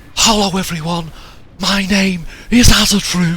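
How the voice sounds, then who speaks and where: Over clear background noise, someone puts on a raspy character voice at a middle pitch. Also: moderate pace. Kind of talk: greeting to an audience, influencer style.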